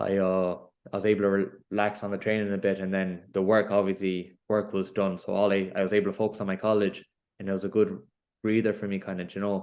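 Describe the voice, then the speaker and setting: A man with a Galway accent talks very fast in a fairly low, monotone, flat voice against a quiet background. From Ireland, Connemara, Galway. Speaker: professional boxer. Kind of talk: interview. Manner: casual, filler-heavy.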